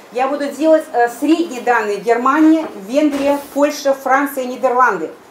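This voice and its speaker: There is noticeable background noise as a woman speaks in a high voice with ordinary pitch variation. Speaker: laboratory head. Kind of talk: presentation. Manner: fast.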